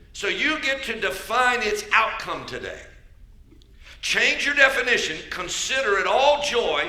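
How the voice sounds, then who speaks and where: Noticeable background noise accompanies a man with an American accent whose extremely high pitch moves in a lively intonation at a fairly slow pace. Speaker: bishop, church preacher. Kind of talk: sermon delivered to a congregation.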